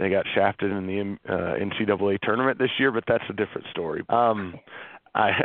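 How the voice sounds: This man talks at a moderate pace with an American accent and ordinary pitch variation. The sound is dry and close, with no echo.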